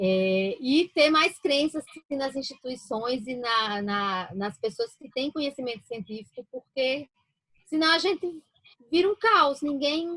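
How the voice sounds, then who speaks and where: A woman's high, bright, sharp voice in a northeastern Brazilian accent, very slow, with very wide pitch swings and a dry, close sound with no echo. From Brazilian Northeast, interior of Paraíba. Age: 40s. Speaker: physician. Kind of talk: interview.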